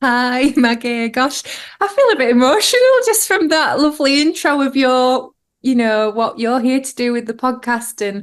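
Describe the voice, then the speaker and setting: Against a quiet background, a woman speaks at a moderate pace with a high pitch and ordinary pitch variation. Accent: Yorkshire. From West Yorkshire, England (Huddersfield). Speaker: yoga and breathwork instructor. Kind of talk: podcast interview.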